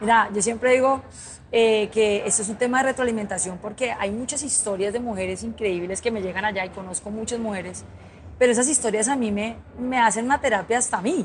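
A woman speaks in a normal speaking voice at a fairly quick pace, with a fairly high pitch and ordinary pitch variation. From Colombia, Cali. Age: 30s. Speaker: motorcycle instructor and influencer. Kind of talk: interview conversation. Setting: trade fair.

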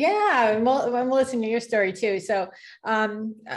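A woman speaks with an American accent at a fairly high pitch. It is a plain, everyday voice. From California. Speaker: podcaster. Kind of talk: casual chat. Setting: video call.

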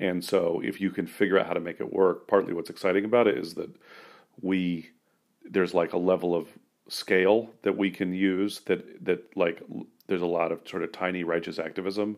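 A man's very deep, low voice with an American accent, monotone and flat, at a fairly quick pace. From US West Coast, San Francisco. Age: 40s. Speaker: labor union organizer and comedian. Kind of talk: casual interview. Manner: halting, many fillers.

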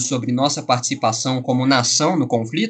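This man's voice sits at a fairly high pitch. It also carries a somewhat breathy quality. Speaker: podcast host. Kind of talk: interview. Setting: video call.

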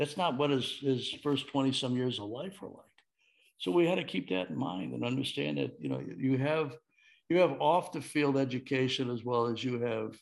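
At a moderate pace, a man talks in an ordinary speaking voice with lively intonation. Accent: American. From Chicago, Illinois. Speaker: former baseball executive and author. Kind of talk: interview.

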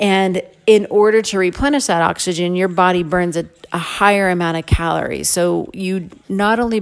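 A woman speaks at medium pitch and a moderate pace. Her tone is upbeat. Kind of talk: fitness class instruction. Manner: upbeat, encouraging coaching tone; clear, energetic, directive cues.

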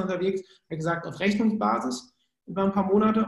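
A man's voice, high in pitch. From Germany, Cologne. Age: 30s. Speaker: sales psychologist. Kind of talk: podcast interview.

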